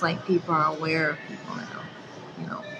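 There is music in the background. Over it, a woman talks at a moderate pace. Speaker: vlogger. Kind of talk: casual vlog chat. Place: gym. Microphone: phone near.

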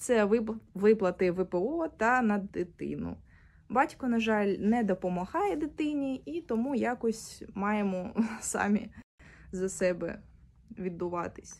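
A woman talks at a very slow pace with long, frequent pauses. Her intonation is lively. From Ukraine, Mariupol; Ukraine. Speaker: displaced person appealing for aid. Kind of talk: personal testimony and appeal. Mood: calm, subdued, serious. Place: home room. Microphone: phone near.

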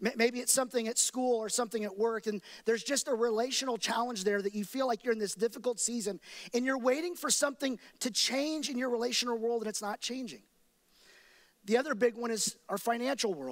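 A man with an American accent at a fairly quick pace, against a quiet background. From Texas, Dallas–Fort Worth area; Texas. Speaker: pastor. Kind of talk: sermon. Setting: church with live and online audience. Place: church. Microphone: headset.

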